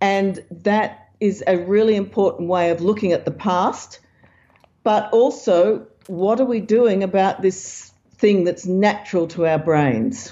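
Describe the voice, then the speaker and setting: In an Australian accent, a woman at medium pitch speaks at a fairly slow pace, with ordinary pitch variation and very even loudness. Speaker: science author and researcher. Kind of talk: interview.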